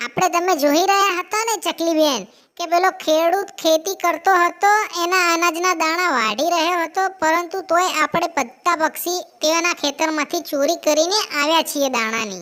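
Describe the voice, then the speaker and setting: This cartoonish character voice sits at an extremely high pitch. It moves at a fairly slow pace. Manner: talkative, emphatic.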